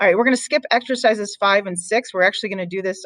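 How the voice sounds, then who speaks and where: This woman talks at a medium pitch, with ordinary variation in her pitch. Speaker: math teacher. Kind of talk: recorded lesson. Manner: fast; casual, filler-heavy.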